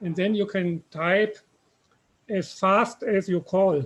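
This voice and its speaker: A man in a German accent, at a very slow pace with fairly even intonation. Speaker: software developer. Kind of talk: software Q&A on video call.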